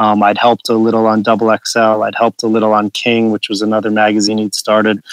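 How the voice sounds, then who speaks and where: Very fast, monotone speech from a man with an American accent, fairly low in pitch, with flat intonation, hardly any pauses and a dry, close sound with no echo. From suburban New York. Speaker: magazine editor. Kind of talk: interview.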